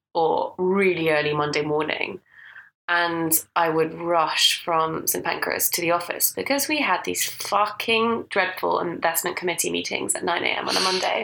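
A woman talks in a Scottish accent. Her pace is moderate. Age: 20s. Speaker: podcast co-host. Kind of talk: casual chat.

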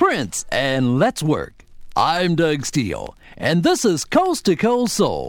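A man speaks very slowly in an upbeat tone at very even loudness. Music runs in the background. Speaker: radio host. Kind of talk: radio dj patter. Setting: radio studio broadcast. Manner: smooth, upbeat radio-announcer delivery; polished, scripted, formal.

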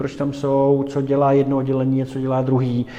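Noticeable background noise accompanies a man at a moderate pace. His pitch is fairly high. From Prague, Czech Republic. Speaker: entrepreneur. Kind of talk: interview.

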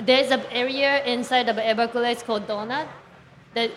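Fairly even intonation from a woman with a fairly high pitch and a Japanese accent. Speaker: painter. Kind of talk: panel discussion. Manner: halting.

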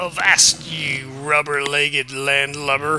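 A man performs a put-on character voice at a fairly high pitch. He goes at a fairly slow pace with clear background noise behind him. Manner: theatrical, gruff swagger.

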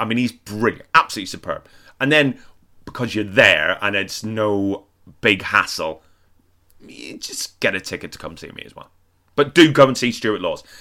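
A man with an English accent speaks at a moderate pace in a very clean recording with a silent background. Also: big swings in loudness. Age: 40s. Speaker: comedian. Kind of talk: reading aloud; casual chat.

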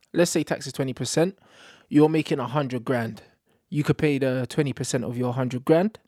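A man talks at a fairly quick pace and medium pitch in a dark, mellow tone. The sound is dry and close with no echo, on a very clean recording with a silent background. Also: ordinary pitch variation. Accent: London. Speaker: social media commentator. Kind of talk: casual chat. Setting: studio. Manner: animated.

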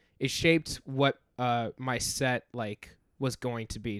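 Here is a man with an American accent and a plain, everyday voice. The recording is very clean, with a silent background. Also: dry, close sound with no echo. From North Carolina. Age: 20s. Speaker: comedian. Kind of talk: casual chat.

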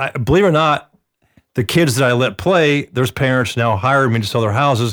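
Recorded very cleanly against a silent background, a man with a plain, everyday voice speaks at a medium pitch and a moderate pace with ordinary pitch variation. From Atlanta, US South. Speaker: real estate agent. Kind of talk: casual chat.

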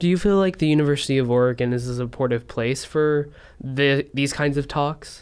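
A man speaks at a fairly quick pace with a fairly high pitch. His is an ordinary speaking voice, with ordinary pitch variation. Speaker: student radio reporter. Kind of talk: radio interview, reporter asking questions.

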